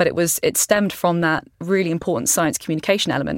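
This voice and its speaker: Speech comes at a very fast pace. The speaker has a southern English accent. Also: woman. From England, East Sussex. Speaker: climate and environment lead, scientist. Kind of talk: casual chat. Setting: studio.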